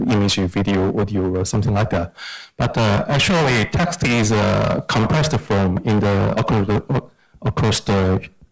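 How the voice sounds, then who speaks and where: Music plays in the background. Over it, a man talks at a fairly low pitch. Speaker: AI practitioner on a panel. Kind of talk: panel discussion. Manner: halting.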